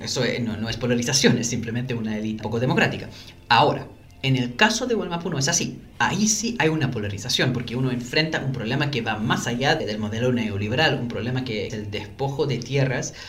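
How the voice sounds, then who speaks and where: A man at a very fast pace, medium in pitch with ordinary pitch variation, amid audible room echo. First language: not Spanish; learned Spanish as an adult (speaking Spanish). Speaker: academic and political analyst. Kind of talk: interview conversation. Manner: halting, with fillers and self-corrections.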